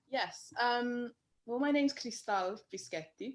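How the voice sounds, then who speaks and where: Speaking very slowly in a strong London accent, a woman uses a high voice with lively intonation. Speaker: painter. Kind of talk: interview.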